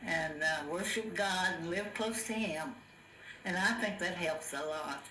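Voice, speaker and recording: A woman with an American accent at medium pitch and ordinary pitch variation, fairly slow in pace, over noticeable background noise. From Missouri, USA. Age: 80s+. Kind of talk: interview answer. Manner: lucid, vibrant.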